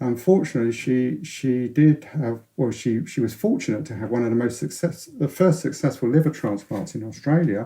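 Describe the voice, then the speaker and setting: A man with a London accent talks at a fairly quick pace in a dark, mellow tone that is somewhat breathy. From North London, England. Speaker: science author, former radio astronomer. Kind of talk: interview. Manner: halting, many repetitions and false starts.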